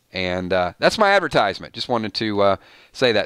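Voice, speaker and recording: Very fast speech in a bright, sharp tone comes through dry and close with no echo, on a very clean recording with a silent background. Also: man. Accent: Georgia. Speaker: YouTube live streamer, TV show commentator. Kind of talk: live stream chat.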